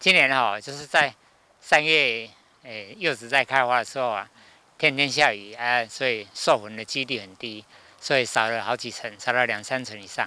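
Medium-pitched male voice, bright and sharp in tone, at a moderate pace with ordinary pitch variation, big swings in loudness and a dry sound with no echo. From Keelung, Taiwan. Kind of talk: news interview. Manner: casual, lots of filler particles. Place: farm. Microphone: handheld.

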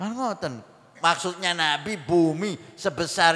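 A high-pitched male voice at a fairly slow pace. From Indonesia. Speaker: village Islamic preacher. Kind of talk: sermon. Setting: religious assembly with audience. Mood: warm, smiling. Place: hall. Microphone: handheld.

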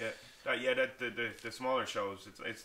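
A man with an Irish accent speaks at a fairly quick pace. His intonation stays fairly even over light background noise. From Ireland. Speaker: MMA fighter and podcast co-host; podcast co-host. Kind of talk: casual chat. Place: home room.

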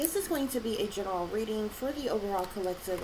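A woman at a very fast pace over loud background noise. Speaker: tarot reader. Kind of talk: tarot reading monologue. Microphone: phone near.

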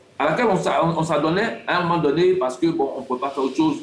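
Amid audible room echo, a man with a high pitch talks at a moderate pace. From Côte d'Ivoire. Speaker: sports analyst. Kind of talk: TV panel debate. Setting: remote video link. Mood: earnest, explanatory. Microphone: video call.

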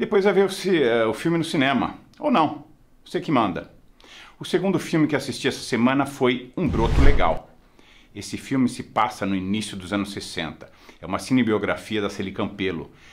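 The voice has vocal fry and very wide pitch swings at a moderate pace. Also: man, medium pitch for a man. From Brazil. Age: 50s. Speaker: film critic; film reviewer. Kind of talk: casual film review monologue. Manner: conversational, informal.

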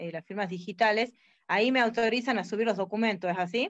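The background stays quiet while a woman talks, her pitch varying in an ordinary way. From Argentina, Tucumán; Argentina. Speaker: member of a new cooperative. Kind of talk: question in online webinar. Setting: video call. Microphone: video call.

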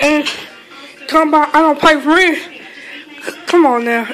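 Delivered at a moderate speed, the speech has music in the background. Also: woman. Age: 30s. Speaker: home cook vlogger. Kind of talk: casual talk to camera. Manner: defiant, brash. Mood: defensive, ranting at critics. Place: kitchen. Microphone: phone near.

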